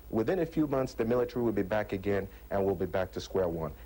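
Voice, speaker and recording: A man speaks with a dark, mellow tone and vocal fry. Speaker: political activist, youth group leader. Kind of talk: TV interview. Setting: remote studio link from a TV bureau.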